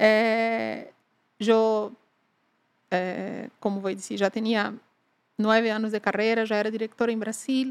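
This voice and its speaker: A woman speaks at a fairly slow pace with a fairly high pitch, a monotone, flat intonation, and long, frequent pauses. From Brazil, Salvador de Bahia (northeast). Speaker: business executive. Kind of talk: interview conversation.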